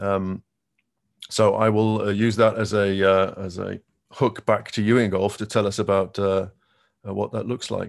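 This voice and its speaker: A man's fairly low voice at a fairly slow pace, monotone and flat, with long, frequent pauses over a quiet background. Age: 50s. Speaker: tech company quantum manager; presenter. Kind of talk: conference presentation. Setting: video call. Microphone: video call.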